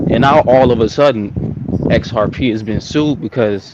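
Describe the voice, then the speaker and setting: Against noticeable background noise, a man speaks at a medium pitch and moderate pace with ordinary pitch variation. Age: young. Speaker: caller on a livestream. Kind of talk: casual chat.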